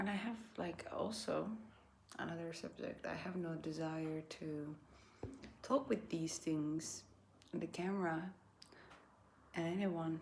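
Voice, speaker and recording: A woman speaks at a very slow pace with a fairly low pitch and a non-native accent. Her speech has long, frequent pauses. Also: ordinary pitch variation. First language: not English. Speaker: vlogger. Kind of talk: casual monologue. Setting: indoors by candlelight. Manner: halting.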